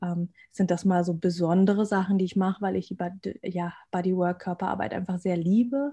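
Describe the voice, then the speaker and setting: The voice is somewhat breathy, with a dark, mellow tone. It moves at a fairly quick pace with fairly even intonation. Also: woman. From Germany, rural village. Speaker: abuse recovery coach and podcaster. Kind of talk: casual interview.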